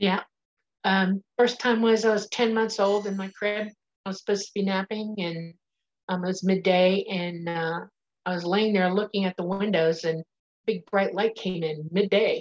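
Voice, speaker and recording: Moderately paced, a woman speaks with fairly even intonation. It is an ordinary speaking voice. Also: medium pitch for a woman. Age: 60s. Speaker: nurse and claimed alien contactee. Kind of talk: interview.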